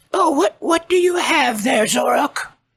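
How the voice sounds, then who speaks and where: Someone is doing a put-on character voice. It sounds raspy. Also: man, extremely high pitch for a man, moderate pace. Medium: actual play. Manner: slow, cryptic, gentle.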